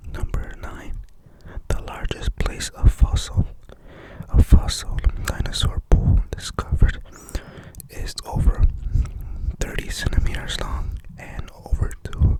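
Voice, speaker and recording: A man whispers at a very slow pace, with long, frequent pauses and big swings in loudness. Noticeable background noise sits behind him. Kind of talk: ASMR fact reading to camera. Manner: whispered, soft-spoken.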